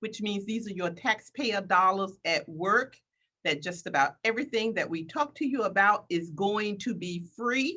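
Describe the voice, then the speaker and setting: Her tone is bright and sharp, with lively intonation at medium pitch. This woman speaks at a moderate pace in an American accent. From Washington DC area / Northern Virginia. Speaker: government business development official. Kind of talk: interview.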